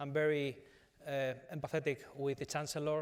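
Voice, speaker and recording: With a Spanish accent, a man speaks in a flat monotone at a fairly high pitch. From Spain, Madrid. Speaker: business executive. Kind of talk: conference panel discussion. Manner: halting, many fillers.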